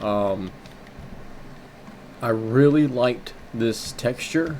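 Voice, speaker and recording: The speaker is a man. Noticeable background noise runs under his voice. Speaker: gaming commentator. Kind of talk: casual gameplay commentary. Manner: hesitant, stuttering.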